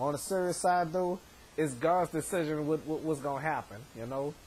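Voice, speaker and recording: Fairly quick male speech with ordinary rise and fall in pitch. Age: 30s. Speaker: vlogger. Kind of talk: casual vlog monologue. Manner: halting, many repetitions.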